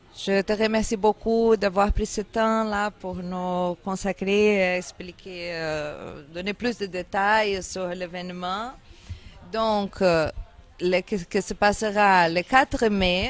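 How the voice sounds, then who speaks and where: Music plays in the background as a woman speaks at a very slow pace with fairly even intonation. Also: medium pitch for a woman. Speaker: interviewer. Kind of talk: interview.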